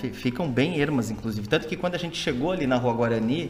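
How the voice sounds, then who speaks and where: Amid noticeable background noise and audible room echo, a man speaks at a fairly quick pace with lively intonation. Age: 40s. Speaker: podcast co-host. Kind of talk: casual chat.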